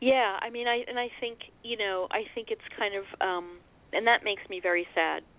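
A woman uses a normal speaking voice, fairly high in pitch, with fairly even intonation at a moderate pace. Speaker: author. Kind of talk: phone interview. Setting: phone call.

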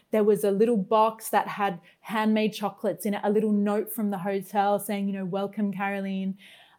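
In an Australian accent, a woman with a medium pitch and a dark, mellow tone talks at a fairly quick pace with hardly any pauses and monotone, flat intonation on a very clean recording with a silent background. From Australia, Brisbane. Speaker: guest experience consultant. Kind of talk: casual interview chat.

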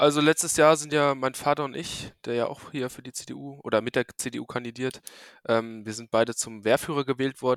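With an unremarkable speaking voice at medium pitch, a man talks at a moderate pace with fairly even intonation and big swings in loudness, in a dry, close sound with no echo. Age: 20s. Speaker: electronics technician and local council candidate. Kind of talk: casual interview. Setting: remote recording from home.

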